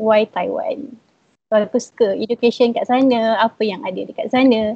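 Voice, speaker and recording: In a dark, mellow tone, a woman speaks at a moderate pace with fairly even intonation, the sound dry and close with no echo. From Malaysia, Perak. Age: 20s. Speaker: recent university graduate. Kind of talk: live-stream interview, sharing experience.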